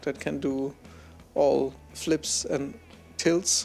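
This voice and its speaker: Music plays in the background as a man speaks at a very slow pace. He has a non-native accent. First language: not English. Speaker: camera reviewer, photographer. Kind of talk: casual vlog review. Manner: unscripted, halting.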